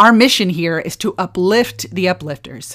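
Speaking in an ordinary speaking voice, a woman with a fairly low pitch uses lively intonation on a very clean recording with a silent background. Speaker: podcast host. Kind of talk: interview. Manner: warm, earnest.

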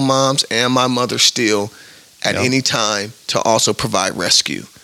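A man talks at a fairly slow pace in a medium pitch, with an American accent. Noticeable background noise sits behind him. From US Midwest, Omaha, Nebraska. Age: 30s. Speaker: life coach. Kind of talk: interview.

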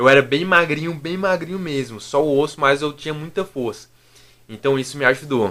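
Using an ordinary speaking voice, a man talks at a moderate pace and a fairly high pitch with ordinary pitch variation. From Brazil, interior of Minas Gerais. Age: 20s. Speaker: fitness youtuber and physical education student. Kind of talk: casual interview chat.

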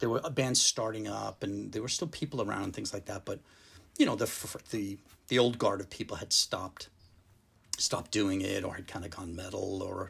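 A man's ordinary speaking voice, fairly low in pitch, with an American accent at a fairly quick pace. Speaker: drummer. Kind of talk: casual chat. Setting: in person at host's home.

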